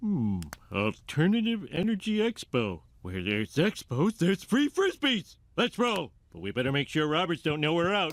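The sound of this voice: A man performs a cartoonish character voice at a high pitch. He keeps a moderate pace.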